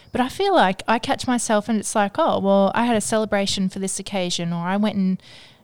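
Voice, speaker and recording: The speaker uses a normal speaking voice at a fairly quick pace with fairly even intonation. The recording is very clean, with a silent background. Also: woman, dry, close sound with no echo. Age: 30s. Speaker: podcast co-host. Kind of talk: casual chat.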